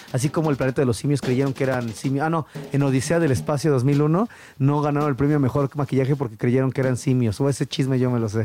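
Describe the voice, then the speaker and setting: A man's medium-pitched voice with a dark, mellow tone, a Mexico City accent, ordinary pitch variation, very even loudness and a very fast pace. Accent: chilango Mexican Spanish. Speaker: podcast co-host. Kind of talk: casual chat about music. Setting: recording studio. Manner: animated, laughing often.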